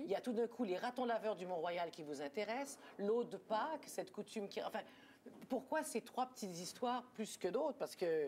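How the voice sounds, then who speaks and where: A woman speaks at a moderate pace. Her pitch is fairly high and swings very widely. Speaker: TV talk show host. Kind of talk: TV talk show interview questions.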